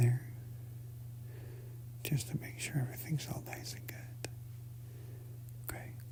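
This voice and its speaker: A soft-spoken man whispering in a gentle tone. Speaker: ASMR content creator. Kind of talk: ASMR soft-spoken instructional narration. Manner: soft, gentle, slow, whispery.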